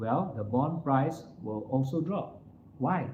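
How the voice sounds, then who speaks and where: Somewhat breathy, a man talks at a medium pitch. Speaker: financial firm CEO. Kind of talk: talk to live audience.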